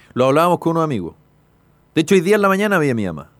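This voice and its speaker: This is a man with a Chilean accent. His pitch sits fairly high. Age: 50s. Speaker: radio host. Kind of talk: casual chat.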